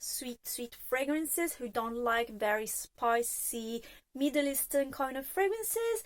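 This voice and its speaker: The sound is dry and close, with no echo. The speaker has a non-native accent. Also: woman. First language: not English. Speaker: fragrance reviewer. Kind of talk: product review monologue. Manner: casual, with frequent filler hesitations.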